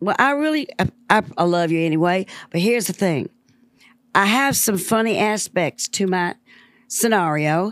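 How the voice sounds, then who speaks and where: A woman with a Southern US accent sounds animated, with lively intonation, very even loudness, and a moderate pace, in a dry, close sound with no echo. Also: medium pitch for a woman, very clean recording, silent background. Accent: Southern twang. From US South, Memphis, Tennessee. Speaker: musician. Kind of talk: casual chat.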